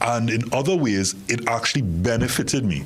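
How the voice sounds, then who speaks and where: Over noticeable background noise, a man speaks with lively intonation. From Trinidad and Tobago. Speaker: television host. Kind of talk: panel talk show discussion. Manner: stammering, repeats words.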